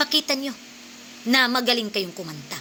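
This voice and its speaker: The tone is animated. Background noise can be clearly heard. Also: woman. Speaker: singer and vlogger. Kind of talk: vlog rant.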